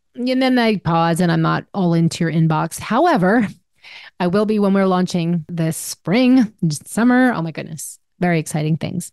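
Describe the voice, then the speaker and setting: Lively intonation from a woman with a normal speaking voice, fairly low in pitch, at a moderate pace against a quiet background. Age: 50s. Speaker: podcast host and life coach. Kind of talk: solo monologue podcast.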